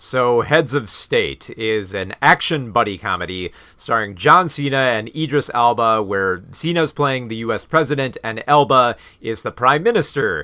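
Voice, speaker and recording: This man talks at a moderate pace in a medium pitch. His tone is bright and sharp. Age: 30s. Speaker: film reviewer. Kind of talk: casual live review with chat. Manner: hesitant, many fillers.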